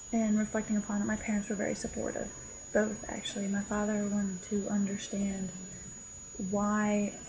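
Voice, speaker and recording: A woman speaks with monotone, flat intonation amid audible room echo and noticeable background noise. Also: medium pitch for a woman, moderate pace. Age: 20s. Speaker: contributor sharing coming out story. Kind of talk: personal testimony.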